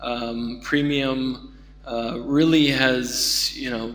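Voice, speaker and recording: Over music in the background and audible room echo, a man speaks with monotone, flat intonation. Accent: American. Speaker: keynote speaker, denim industry. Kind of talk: conference keynote talk. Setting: conference stage with audience. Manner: many fillers, halting.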